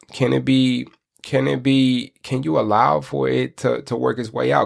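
Very wide pitch swings mark this man's delivery. His medium-pitched voice carries an animated tone. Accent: American. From Michigan, US. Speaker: podcast host, life coach. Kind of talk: motivational monologue.

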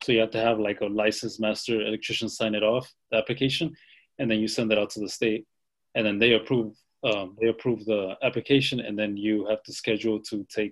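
A man talks at a fairly quick pace with an American accent and a fairly low pitch. His intonation is monotone and flat, against a quiet background. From South Texas. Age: 20s. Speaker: electrician and small business owner. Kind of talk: interview. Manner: halting, many fillers and repetitions.

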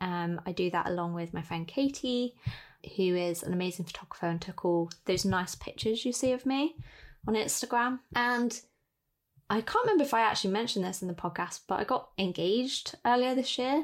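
Here a woman has an unremarkable speaking voice with a fairly high pitch. Her intonation is lively. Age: 20s. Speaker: podcast host, calligraphy business owner. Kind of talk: casual chat.

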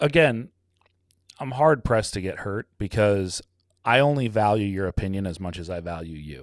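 In a very clean recording with a silent background, a man with an unremarkable speaking voice talks at a moderate pace in a fairly low pitch, with lively intonation and big swings in loudness. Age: 40s. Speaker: business owner and podcaster. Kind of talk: casual chat.

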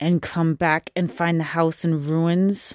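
A woman growls in a put-on character voice at a fairly low pitch and a fairly slow pace, her intonation monotone and flat. The recording is very clean, with a silent background and a dry, close sound with no echo. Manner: snarling, hostile.

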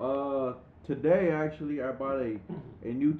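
Speaking at a moderate pace, a man with a plain, everyday voice keeps a fairly high pitch and fairly even intonation. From San Diego, California. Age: 20s. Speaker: podcast co-host. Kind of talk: casual chat.

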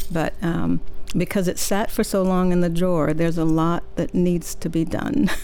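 A woman with a normal speaking voice talks at a moderate pace in a fairly low pitch, her intonation fairly even and her loudness very even. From Mississippi, US South; moved to San Francisco as a teenager. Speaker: novelist. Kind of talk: interview. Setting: radio studio.

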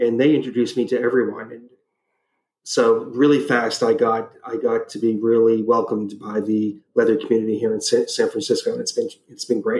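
This man talks in an ordinary speaking voice at a medium pitch. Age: 50s. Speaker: travel writer. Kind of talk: casual chat.

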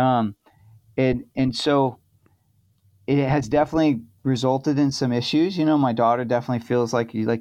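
Against a quiet background, a man with an American accent and an unremarkable speaking voice talks at a fairly quick pace, his medium pitch held to fairly even intonation and very even loudness. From California. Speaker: chef. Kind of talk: casual chat.

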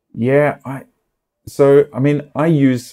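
Man with an Australian accent and a dark, mellow tone, on a very clean recording with a silent background. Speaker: film music producer. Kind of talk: casual interview. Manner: halting, many repetitions.

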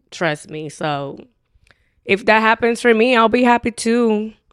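Lively intonation marks this woman's speech. She talks at a fairly slow pace. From Dominican Republic. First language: Spanish. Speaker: dating show contestant. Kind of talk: casual chat.

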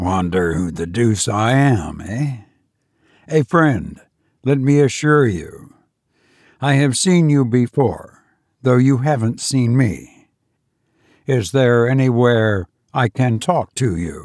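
A shaky, put-on character voice moves at a fairly slow pace with long, frequent pauses. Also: man, medium pitch for a man. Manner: persuasive, ingratiating, secretly eager.

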